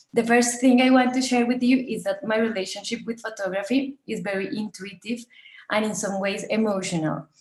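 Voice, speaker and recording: A woman with a Colombian accent and fairly even intonation. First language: Spanish. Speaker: documentary photographer. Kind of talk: presentation talk, partly read. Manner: partly reading aloud, with hesitations.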